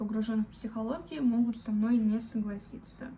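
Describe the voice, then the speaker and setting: Somewhat breathy with a dark, mellow tone, a woman speaks at a fairly high pitch with monotone, flat intonation. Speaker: vlogger. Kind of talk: personal reflection monologue. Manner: slow; halting, many fillers.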